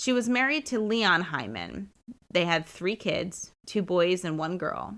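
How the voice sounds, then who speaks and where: At a fairly slow pace, the voice shows vocal fry and very wide pitch swings. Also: woman, medium pitch for a woman. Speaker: podcast host. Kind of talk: true crime podcast narration. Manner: casual, conversational.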